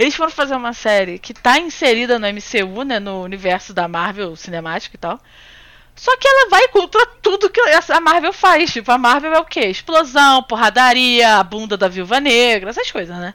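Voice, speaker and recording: A woman's high, bright, sharp voice with very wide pitch swings and big swings in loudness. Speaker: podcast co-host. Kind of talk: casual chat. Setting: remote recording with headphones. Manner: fast, rambling.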